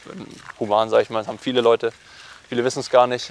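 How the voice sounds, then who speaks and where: With noticeable background noise, a man at a medium pitch comes through in a dry, close sound with no echo. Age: 20s. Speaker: professional triathlete. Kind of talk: interview conversation. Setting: outdoors, walking. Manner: hesitant, many fillers.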